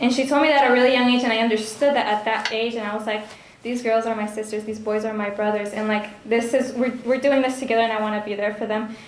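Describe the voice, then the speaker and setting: Over noticeable background noise and audible room echo, a woman talks at a very fast pace with hardly any pauses, her fairly high voice held in a monotone, flat intonation. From Honduras. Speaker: speaker who grew up at the ministry. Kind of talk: testimony. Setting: fundraising banquet with audience.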